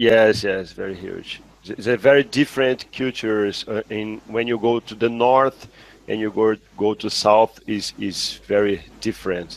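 In a Portuguese accent, a man with a fairly low pitch speaks at a fairly slow pace with fairly even intonation and big swings in loudness, the sound dry with no echo. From Brazil. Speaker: neurosurgeon; guest. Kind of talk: case discussion; interview answer. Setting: video call. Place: home room. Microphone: headset.

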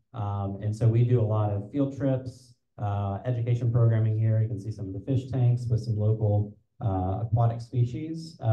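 The tone is dark and mellow, with fairly even intonation. Room echo is audible against a quiet background. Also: man, moderate pace. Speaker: community organization host. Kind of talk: event welcome remarks. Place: hall. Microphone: handheld.

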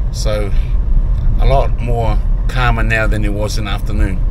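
A man speaks at a fairly slow pace. There is noticeable background noise, and the sound is dry with no echo. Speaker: travel vlogger. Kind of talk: casual vlog chat. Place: car. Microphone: phone near.

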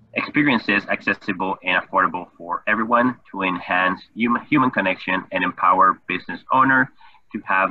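At a moderate pace, a man talks against a quiet background, the sound dry with no echo. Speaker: webinar host. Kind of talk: guest introduction. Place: home room. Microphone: webcam.

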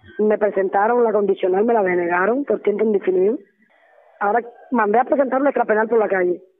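Talking at a fairly quick pace, a woman uses a fairly high pitch. Her pitch variation is ordinary. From Cuba. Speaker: political prisoner. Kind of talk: testimony. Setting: phone call. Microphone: phone line.

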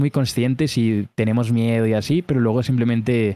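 At a fairly quick pace, a man speaks at a medium pitch with a dark, mellow tone, the sound dry and close with no echo in a very clean recording with a silent background. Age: 20s. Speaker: streamer reacting to videos. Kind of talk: casual chat.

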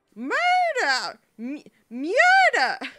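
An extremely high, put-on character voice leaps through very wide pitch swings. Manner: poor imitation attempt; exaggerated, shouting.

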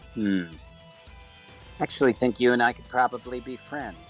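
Clear music plays behind a man doing a put-on character voice with a smug, menacing tone. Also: medium pitch for a man, moderate pace.

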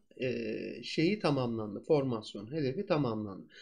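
A man with an ordinary speaking voice delivers lively intonation at a moderate tempo against a quiet backdrop. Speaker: stock market analyst. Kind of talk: market analysis tutorial. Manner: conversational.

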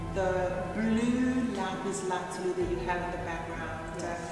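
Over clear background music and audible room echo, a woman talks at a fairly slow pace. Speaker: tour guide. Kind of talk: guided tour commentary. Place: hall.

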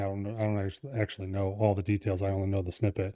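A man's dark, mellow tone in a dry sound with no echo and a quiet background. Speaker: podcast host. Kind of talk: casual podcast chat. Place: studio. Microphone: studio mic.

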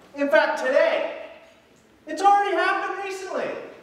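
In a room with strong echo, a man speaks at an extremely high pitch and a moderate pace, his tone fairly bright and his pitch varying in an ordinary way.

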